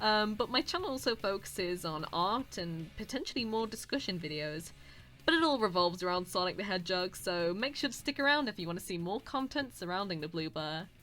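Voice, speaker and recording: A woman speaks in a British accent at medium pitch. Her pace is fairly quick and her intonation lively. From Britain. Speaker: YouTuber and voice actor. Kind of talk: commentary video. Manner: halting, stuttering; awkward.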